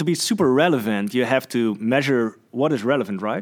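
A man with a medium pitch and a Dutch accent speaks at a fairly quick pace on a very clean recording with a silent background. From Netherlands. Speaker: podcast host. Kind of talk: interview. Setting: office, sharing one microphone.

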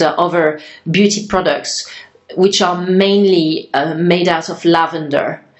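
Her voice is fairly low in pitch, and this woman keeps a fairly even intonation. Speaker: podcast host. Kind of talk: interview conversation.

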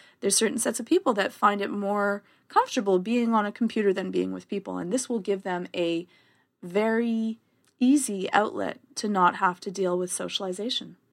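A woman with a Canadian accent speaks at a fairly quick pace in an ordinary speaking voice, her pitch medium with ordinary variation. The recording is very clean, with a silent background. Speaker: therapist. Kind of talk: casual chat.

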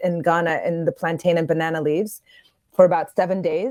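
A woman speaks in a normal speaking voice. Her pitch is fairly low and her intonation fairly even. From New York, US. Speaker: chef and chocolatier. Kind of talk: radio interview.

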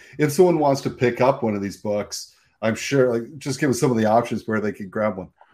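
A man with a normal speaking voice talks at a fairly quick pace, medium in pitch with ordinary pitch variation. The recording is very clean, with a silent background. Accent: Canadian. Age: 50s. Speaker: podcast host. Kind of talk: casual interview chat.

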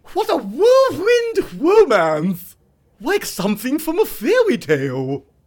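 A high pitch at a fairly slow pace. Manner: gushing, theatrical.

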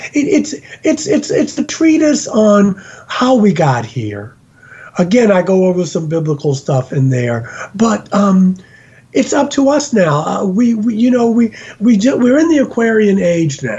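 High-pitched man with an American accent, very wide pitch swings and a fairly slow pace over noticeable background noise. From US, Baltimore, Maryland. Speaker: interfaith minister and UFO experiencer. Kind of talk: interview. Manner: halting.

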